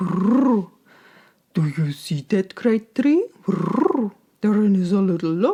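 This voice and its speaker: A female-sounding voice performs a growling, put-on character voice at a medium pitch. The pace is fairly slow. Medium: read story. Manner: gentle, guiding.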